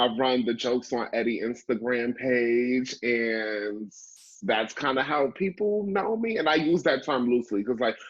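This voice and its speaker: A man with an American accent speaks at a medium pitch and a fairly slow pace. His intonation is lively and his loudness very even. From Brooklyn, New York. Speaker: actor and improviser. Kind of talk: casual interview.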